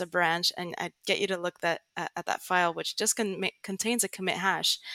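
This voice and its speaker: Speaking at a fairly quick pace in a monotone, flat intonation, a woman with an American accent has a medium pitch and a bright, sharp tone, captured in a very clean, dry, close recording with no echo and a silent background. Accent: American-sounding. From Netherlands, Greek family, international school. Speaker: tech writer and Git educator. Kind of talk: interview.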